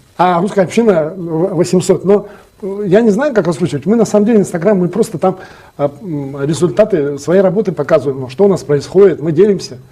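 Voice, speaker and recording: Over noticeable background noise, a man talks at a fairly quick pace. His pitch is high, with ordinary variation. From Yakutia, Russia. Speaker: Russian community representative. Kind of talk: interview.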